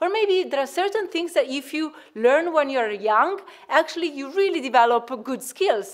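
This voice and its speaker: Talking at a moderate pace with an Italian accent, a woman's voice moves in very wide pitch swings. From Italy. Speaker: researcher. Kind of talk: conference presentation. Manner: hesitant, many fillers.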